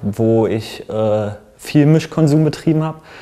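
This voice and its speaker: A man with a dark, mellow tone speaks at a very slow pace with fairly even intonation. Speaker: guest with drug experience; guest. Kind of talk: personal account in discussion. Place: meeting room. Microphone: lapel.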